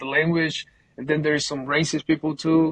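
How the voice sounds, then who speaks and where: A man's fairly high, somewhat breathy voice, recorded dry and close with no echo. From Colombia. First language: Spanish. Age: 20s. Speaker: painting business owner. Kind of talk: casual interview. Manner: halting, repeats words.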